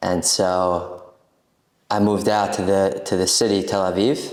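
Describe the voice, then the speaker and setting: Audible room echo surrounds a man with an American accent. His pitch is very deep and low, and his intonation fairly even. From US Northeast, Brooklyn, New York. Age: 20s. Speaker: coffeehouse owner. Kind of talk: casual chat.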